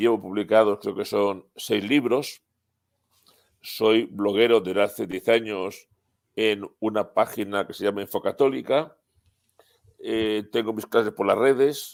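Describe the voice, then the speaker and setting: On a very clean recording with a silent background, a man at a fairly low pitch speaks at a fairly slow pace with long, frequent pauses. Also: fairly even intonation. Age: 60s. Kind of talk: interview.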